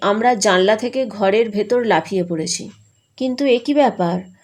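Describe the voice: The clip is plain reading aloud, and its pitch variation is ordinary. Nothing much is heard behind it, as the background is quiet.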